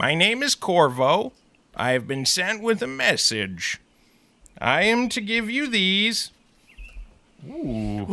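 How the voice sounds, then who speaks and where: A man's high-pitched put-on character voice, fairly slow with long, frequent pauses. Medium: actual play. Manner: nervous, eager to avoid a fight.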